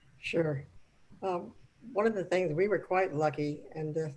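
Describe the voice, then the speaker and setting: This soft-spoken woman has a very deep, low pitch. She talks at a moderate pace with ordinary pitch variation. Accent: American. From Arizona. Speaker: city manager. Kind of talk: panel discussion. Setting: video call.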